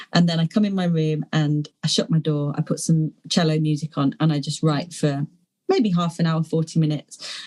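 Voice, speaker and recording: At a moderate pace, a woman speaks in a very deep, low pitch with a dark, mellow, somewhat breathy tone, captured in a dry, close sound with no echo. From London, England. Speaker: poet. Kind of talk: interview answer. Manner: hesitant, rambling.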